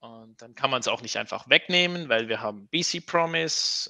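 The recording is dry and close with no echo as a man speaks at a moderate pace. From Switzerland. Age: 30s. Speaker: open-source software developer. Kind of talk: casual interview.

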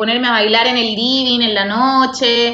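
The woman talks at a fairly slow pace. Her voice sits high. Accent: Chilean. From Chile, Santiago. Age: 30s. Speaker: guest; works from home in media. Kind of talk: casual interview chat. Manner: animated, frequent laughter.

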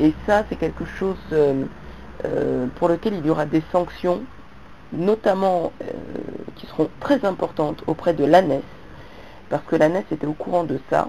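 A woman's fairly low pitch, a fairly slow pace, long and frequent pauses, and noticeable background noise. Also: ordinary pitch variation. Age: 40s. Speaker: vlogger. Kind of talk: monologue to camera.

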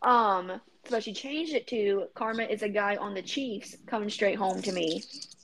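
In an ordinary speaking voice, a woman talks at a medium pitch and moderate pace with ordinary pitch variation. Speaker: pop culture segment presenter. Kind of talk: casual chat.

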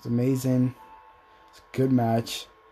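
Music plays in the background. A man speaks at medium pitch and a moderate pace. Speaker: wrestling reviewer. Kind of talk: casual review monologue. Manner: animated.

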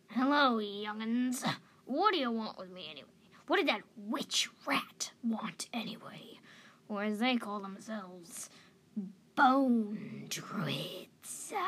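A woman puts on a gruff, croaky character voice at a fairly high pitch, speaking at a fairly slow pace. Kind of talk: bedtime story character voice. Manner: gruff, cantankerous, loud.

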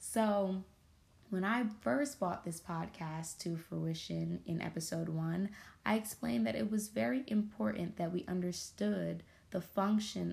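With lively intonation, a woman's fairly low, dark, mellow voice comes across somewhat breathy. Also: very clean recording, silent background. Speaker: podcast host. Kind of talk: scripted narration.

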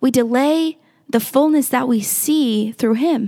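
A woman with a high-pitched, dark and mellow voice speaks with ordinary pitch variation in a dry, close recording with no echo. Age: 20s. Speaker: podcast host teaching the Bible. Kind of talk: Bible teaching talk. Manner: casual, conversational.

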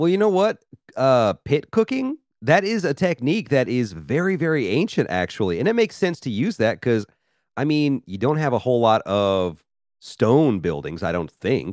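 In an American accent, a man speaks at a medium pitch with very wide pitch swings, the sound dry and close with no echo. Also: moderate pace, very clean recording, silent background. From US South, Memphis, Tennessee. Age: 30s. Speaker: podcast host. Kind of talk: casual chat.

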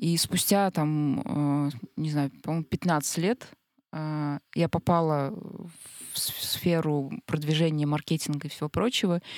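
At a very slow pace, a woman speaks with a very deep, low pitch and ordinary pitch variation, in a dry, close sound with no echo. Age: 30s. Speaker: unemployed marketer, podcast guest. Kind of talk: casual discussion. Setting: studio.

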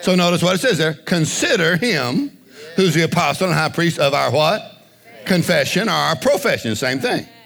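With an American accent, the speaker moves at a moderate pace through very wide pitch swings at very even loudness, against noticeable background noise. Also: man, high pitch for a man. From US small town. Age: 60s. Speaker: evangelist preacher. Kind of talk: sermon. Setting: church. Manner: animated.

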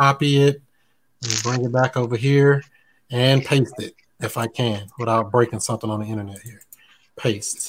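Somewhat breathy speech at a moderate pace, with long, frequent pauses, fairly even intonation and big swings in loudness. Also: man. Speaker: real estate show host. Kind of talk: live stream interview. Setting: live video stream. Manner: high energy.

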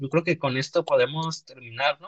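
A man speaks at a fairly slow pace in a plain, everyday voice, pitched fairly high, with a dry, close sound and no echo. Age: 20s. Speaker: podcast host. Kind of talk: casual chat. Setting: live online stream.

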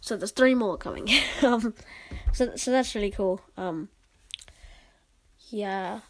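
The voice moves at a slow pace. Its pitch variation is ordinary. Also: woman, medium pitch for a woman.

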